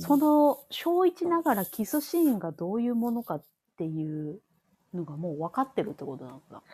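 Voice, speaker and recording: A woman speaks with a Kansai accent, her pitch swinging very widely. Her loudness rises and falls in big swings. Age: 30s. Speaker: podcast co-host. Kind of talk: casual chat.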